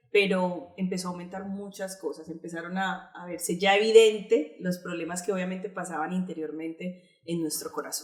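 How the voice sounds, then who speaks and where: A woman with a Colombian accent, medium pitch, flat monotone intonation, moderate pace, hardly any pauses and big swings in loudness. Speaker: pastor. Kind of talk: testimony.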